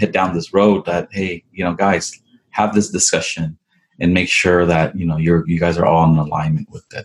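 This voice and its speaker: A man speaks at a moderate pace. His voice is very deep and low, with flat, monotone intonation. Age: 40s. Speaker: entrepreneur, coffee brand and restaurant franchise owner. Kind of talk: interview.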